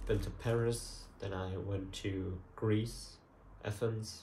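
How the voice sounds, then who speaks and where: A man speaks very slowly in a fairly low, somewhat breathy voice with a dark, mellow tone. His intonation stays fairly even, and room echo can be heard. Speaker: photography vlogger. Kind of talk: casual vlog chat. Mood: relaxed, lightly amused. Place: home room. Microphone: camera far.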